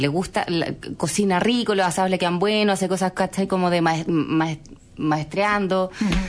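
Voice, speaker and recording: She has a plain, everyday voice. This woman's pitch is medium and varies in an ordinary way. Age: 30s. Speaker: entrepreneur. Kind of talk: interview.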